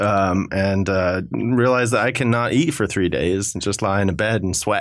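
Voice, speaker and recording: Moderate pace and fairly even intonation from a man, over noticeable background noise. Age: 20s. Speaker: radio show guest. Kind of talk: casual chat. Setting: studio.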